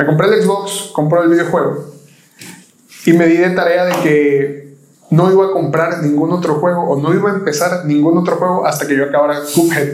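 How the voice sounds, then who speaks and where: Audible room echo and noticeable background noise surround a man's high-pitched voice. His loudness stays very even and his intonation fairly even. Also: moderate pace. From Mexico, Veracruz (Agua Dulce). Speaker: podcast host. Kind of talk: casual chat.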